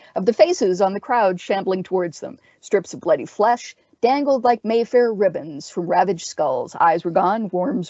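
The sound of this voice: Reading in an unforced voice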